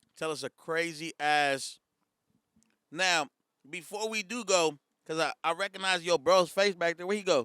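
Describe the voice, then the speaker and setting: Dry and close with no echo, in a very clean recording with a silent background, a man speaks at a high pitch with a bright, sharp tone, ordinary pitch variation, a moderate pace and long, frequent pauses. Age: 20s. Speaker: podcast host. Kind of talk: casual chat.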